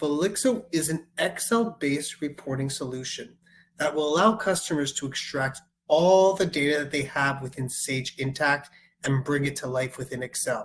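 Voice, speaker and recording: An ordinary speaking voice: a man with a Canadian accent, fairly high pitch, and a moderate pace. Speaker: software sales executive. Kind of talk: product demo webinar. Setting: online webinar call.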